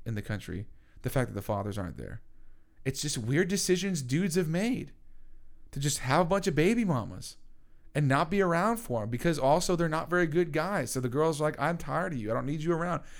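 A man's animated, fairly quick delivery, fairly high in pitch, with lively intonation. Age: 20s. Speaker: podcast co-host. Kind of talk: casual chat.

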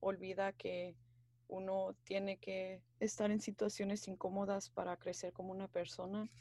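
At a fairly slow pace, a woman talks in a medium pitch with monotone, flat intonation. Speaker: university student, podcast co-host. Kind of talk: casual chat.

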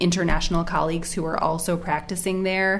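With an American accent and fairly low pitch, a woman speaks in a monotone, flat intonation amid audible room echo and noticeable background noise. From United States. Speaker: family doctor and medical editor. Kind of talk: casual chat.

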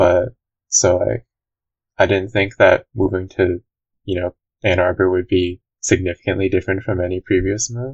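Vocal fry marks a man's very deep, low voice as he talks at a moderate pace. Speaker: university student. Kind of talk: casual chat.

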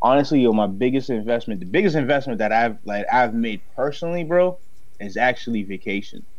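Delivered at a fairly quick pace, the speech has lively intonation and audible room echo. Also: man, medium pitch for a man. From Haiti, raised in Dorchester, Boston. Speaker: commercial real estate broker and entrepreneur. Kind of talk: casual chat.

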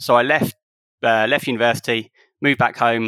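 A man's bright, sharp voice with fairly even intonation, in a dry, close sound with no echo. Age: 30s. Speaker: football association chief executive and lawyer. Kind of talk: casual interview chat.

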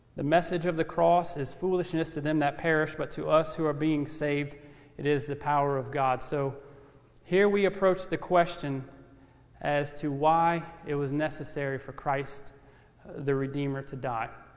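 With a Louisiana accent, a man speaks at a fairly high pitch and a moderate pace, his intonation fairly even, with audible room echo. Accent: Southern US (Louisiana). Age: 30s. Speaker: ministry intern preaching. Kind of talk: sermon. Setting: church. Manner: measured, respectful tone.

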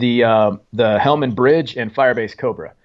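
In a normal speaking voice, a man of medium pitch talks with an American accent and fairly even intonation. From Oregon, small logging town. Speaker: Special Forces soldier, author. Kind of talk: interview, war testimony.

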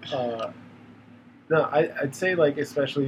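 At a moderate pace, a man talks with ordinary pitch variation over noticeable background noise. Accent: American. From Virginia, Hampton Roads. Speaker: podcast co-host. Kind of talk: casual chat.

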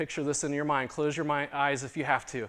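A man with an ordinary speaking voice and a fairly high pitch talks at a fairly quick pace. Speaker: pastor. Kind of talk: sermon. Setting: church.

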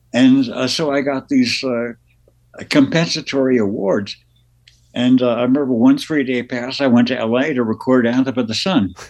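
Moderate pacing and fairly even intonation from a man with a plain, everyday voice, medium-pitched. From Las Vegas, born in New Jersey. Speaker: musician, keyboardist. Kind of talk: casual interview.

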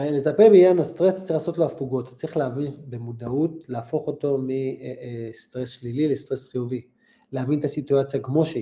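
A man speaks at a fairly quick pace, his voice somewhat breathy with a dark, mellow tone and fairly high pitch. His loudness swings widely, while his pitch varies in an ordinary way. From Israel, Holon. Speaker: retired football goalkeeper. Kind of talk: interview.

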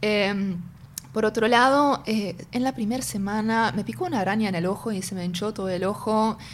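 With noticeable background noise behind her, a woman speaks at a moderate pace in a medium pitch with ordinary pitch variation. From northern Germany, North Sea island near Denmark. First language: German (speaking Spanish). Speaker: tech company executive and singer. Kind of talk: interview conversation. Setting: in person, same room as host.

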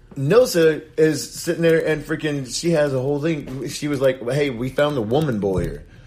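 A man speaks in an American accent at a moderate pace, with noticeable background noise behind him. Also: fairly high pitch for a man, ordinary pitch variation, hardly any pauses. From Indiana. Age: 30s. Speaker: reality TV cast member and painter. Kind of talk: casual chat. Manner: halting.

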